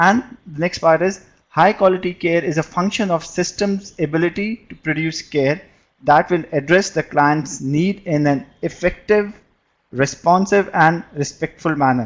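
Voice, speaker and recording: A man's high-pitched voice with ordinary pitch variation. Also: fairly slow pace. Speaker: public health physician. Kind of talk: lecture. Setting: online webinar.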